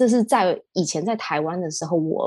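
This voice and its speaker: A woman with a Taiwanese accent speaks at medium pitch with ordinary pitch variation, recorded dry and close with no echo. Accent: Taiwanese Mandarin. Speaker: e-commerce entrepreneur. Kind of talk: casual interview.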